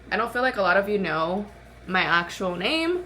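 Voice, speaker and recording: A woman in a mid-range pitch, room echo audible around her. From Arizona, US (Mexican-born). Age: 20s. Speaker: lifestyle vlogger. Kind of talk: casual makeup vlog chat. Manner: casual, chatty.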